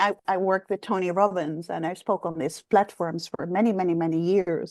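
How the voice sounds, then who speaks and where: A woman with a slight Dutch accent speaks at a medium pitch and a fairly quick pace, her intonation fairly even. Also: dry, close sound with no echo. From Netherlands. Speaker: executive coach. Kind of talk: interview.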